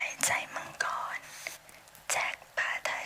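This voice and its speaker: A woman whispers. Noticeable background noise sits behind her. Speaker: ASMR creator. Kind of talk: bedtime story reading.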